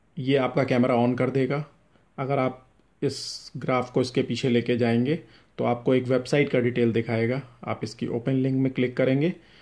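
Against a quiet background, a man talks at a fairly slow pace with monotone, flat intonation. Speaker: shop seller demonstrating product. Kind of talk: tutorial. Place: home room. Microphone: phone near.

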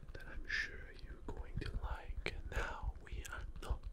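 Loud background noise nearly covers a soft-spoken man talking at a very slow pace. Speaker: ASMR role-play host. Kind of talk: soft-spoken role-play. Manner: soft, hushed close-mic ASMR voice. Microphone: studio mic.

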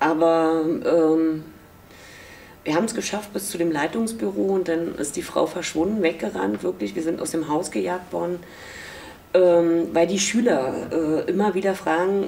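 Speaking fairly slowly, a woman uses a fairly low pitch and lively intonation. Her speech has long, frequent pauses. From East Berlin, Germany. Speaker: former East German youth detainee, contemporary witness. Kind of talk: interview answer. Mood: reflective, emotional memories. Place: office.

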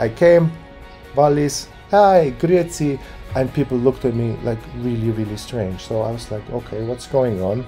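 Faint music plays in the background. A man speaks with lively intonation. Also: moderate pace. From Zurich, Switzerland. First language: Swiss German. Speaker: YouTuber giving Switzerland advice. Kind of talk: casual talk to camera. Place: home room. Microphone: phone near.

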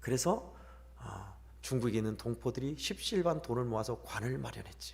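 The speaker is a man. He talks at a moderate pace. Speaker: pastor. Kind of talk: sermon. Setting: church.

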